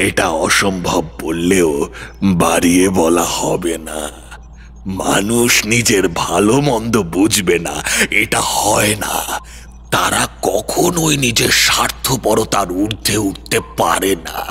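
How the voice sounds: Over clear background noise, a man puts on a character voice, speaking fairly slowly at a fairly low pitch.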